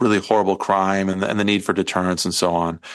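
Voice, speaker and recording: A man's normal speaking voice, fairly low in pitch and with an American accent, with fairly even intonation over a quiet background. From Iowa. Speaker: legal scholar. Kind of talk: interview.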